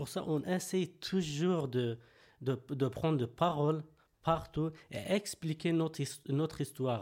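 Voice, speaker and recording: Speaking very slowly in a Kurdish accent, a man with a fairly high pitch and ordinary pitch variation is heard on a very clean recording with a silent background. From Turkey, Kurdish. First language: Kurdish (speaking French). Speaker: political refugee and activist. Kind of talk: interview. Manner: halting, many hesitations.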